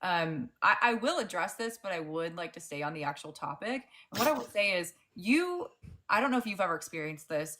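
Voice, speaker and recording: A woman with a fairly low pitch and a bright, sharp tone speaks at a fairly quick pace, with very wide pitch swings and big swings in loudness. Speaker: debate panelist. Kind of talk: debate.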